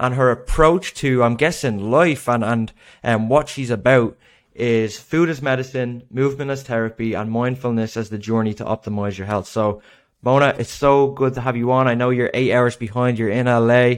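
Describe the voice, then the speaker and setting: A man with an Irish accent at medium pitch, fairly even intonation and a moderate pace, against a quiet background. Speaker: podcast host. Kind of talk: casual interview chat. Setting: studio.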